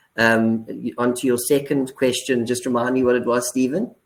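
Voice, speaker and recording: This is a man's voice. He speaks with a South African accent. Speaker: business executive. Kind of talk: webinar discussion. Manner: halting.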